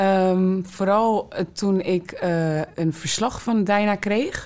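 This woman talks at a very slow pace. Her medium-pitched voice keeps a fairly even intonation. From Netherlands, Rotterdam South. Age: 20s. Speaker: student mentor. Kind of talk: interview. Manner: hesitant with fillers.

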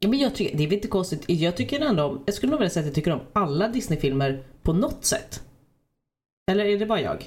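A woman talks at a very fast pace, her voice somewhat breathy. Her pitch swings very widely while her loudness stays very even. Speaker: podcast host. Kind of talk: casual chat.

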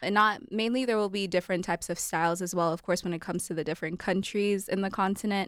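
Very fast and with hardly any pauses, a woman speaks at medium pitch with fairly even intonation. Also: very clean recording, silent background. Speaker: student club co-founder. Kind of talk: radio interview.

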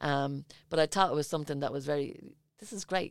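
A woman speaks at a moderate pace. Her voice is very deep and low. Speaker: podcast host. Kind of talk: casual interview.

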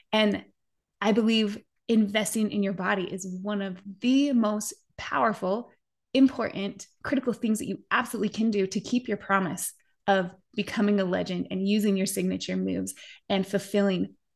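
With an American accent and an animated tone, a woman speaks at a medium pitch and moderate pace against a quiet background. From Utah (Park City). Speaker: podcast host. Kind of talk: interview; scripted outro.

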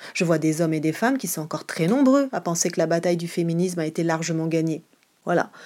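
A woman talks very fast in a fairly low, dark and mellow voice with ordinary pitch variation. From Marseille, southern France. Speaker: theatre director and actress. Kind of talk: interview answer.

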